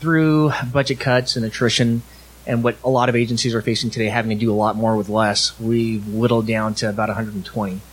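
A man speaks with an American accent at a fairly quick pace. His intonation stays fairly even, and there is noticeable background noise. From Southern California (Alhambra). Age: 40s. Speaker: police officer. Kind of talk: live podcast interview. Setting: live event with audience.

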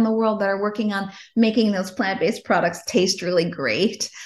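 Her pace is fairly quick. This woman also sounds somewhat breathy. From Chicago. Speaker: investment fund CEO. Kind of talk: casual interview.

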